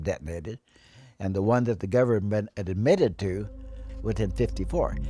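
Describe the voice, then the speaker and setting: A man's fairly low voice moves at a moderate speed while music plays in the background. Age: 80s+. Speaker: war veteran. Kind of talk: interview testimony.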